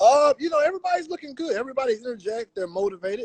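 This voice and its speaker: In a dry, close sound with no echo, a man with an American accent speaks in a relaxed tone, his pitch swinging very widely. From Fresno, California. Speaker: NBA reporter. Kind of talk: casual chat.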